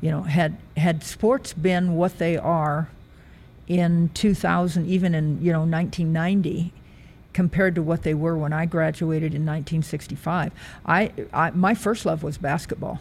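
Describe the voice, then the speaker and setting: A woman's somewhat breathy, fairly low voice at a fairly slow pace, on a very clean recording with a silent background. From US Midwest, rural Nebraska. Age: 70s. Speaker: retired track athlete and coach. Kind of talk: interview. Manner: halting.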